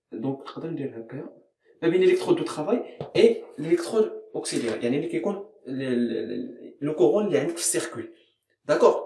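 Over light background noise and audible room echo, a man speaks at a very fast pace. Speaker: chemistry teacher. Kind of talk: educational lecture. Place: classroom. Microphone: phone near.

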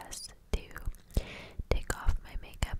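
A woman speaks in a whisper. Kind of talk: ASMR voiceover. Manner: whispered.

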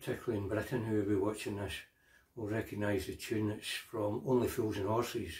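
Here a man talks at a fairly quick pace in a fairly low voice. He sounds somewhat breathy, and his intonation is flat and monotone. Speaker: singer-songwriter. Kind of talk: casual chat to camera.

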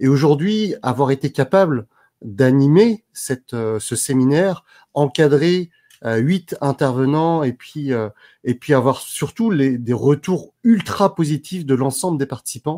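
The tone is dark and mellow, and the pace is very slow. Intonation is lively against a quiet background. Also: man. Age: 30s. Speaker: personal development coach and speaker; personal development coach, speaker. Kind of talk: interview. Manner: animated. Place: home room. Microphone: earbuds.

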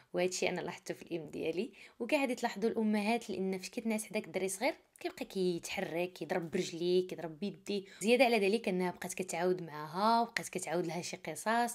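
Talking at a fairly quick pace with hardly any pauses, a woman with a Moroccan accent shows big swings in loudness. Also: medium pitch for a woman, ordinary pitch variation. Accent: Moroccan Arabic (Darija). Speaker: true crime storyteller. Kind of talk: narrated true crime story. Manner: casual, conversational.

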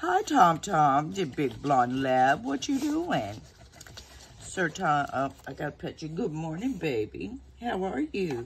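A woman in a Southern US accent, very slow pace, relaxed tone, very wide pitch swings. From Texas. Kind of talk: casual chat. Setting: home, talking to camera. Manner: chatty, relaxed.

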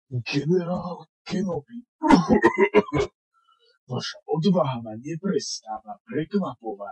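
High-pitched put-on character voice from a man, broken by long, frequent pauses. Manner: mocking, theatrical.

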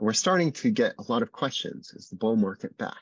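The sound is dry and carries no echo. A man talks over a quiet background. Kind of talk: webinar presentation. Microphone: video call.

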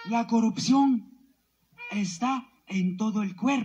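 A man talks at a very slow pace. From Guatemala. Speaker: community representative, protester; speaker. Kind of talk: protest speech. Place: street. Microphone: handheld.

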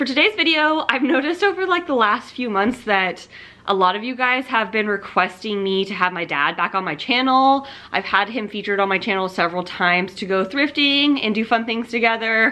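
Talking at a fairly quick pace, a woman uses lively intonation. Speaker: lifestyle vlogger. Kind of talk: casual vlog chat. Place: home room. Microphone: camera far.

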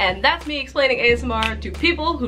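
A woman at a very fast pace in an upbeat tone, with faint music in the background. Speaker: ASMR creator. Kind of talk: casual talk to camera. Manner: normal speaking voice, not whispered; upbeat, chatty. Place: home room. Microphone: phone near.

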